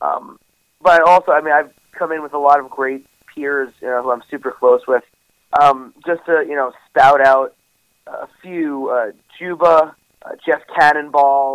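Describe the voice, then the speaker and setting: A man with an American accent talks at a fairly slow pace in a fairly high pitch. It is an ordinary speaking voice with a dry, close sound and no echo. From New York. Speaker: professional wrestler. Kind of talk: interview.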